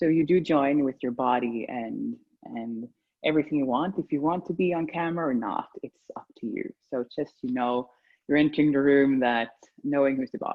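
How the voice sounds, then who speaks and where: This woman has a Swedish accent and a very deep, low pitch. She keeps a moderate pace with ordinary pitch variation. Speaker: embodiment session facilitator. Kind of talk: guided group session. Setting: video call. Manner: halting.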